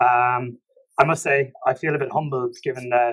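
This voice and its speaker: A man in an Irish accent speaks at a fairly quick pace. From Ireland, Limerick City. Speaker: tax professional. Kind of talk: podcast interview.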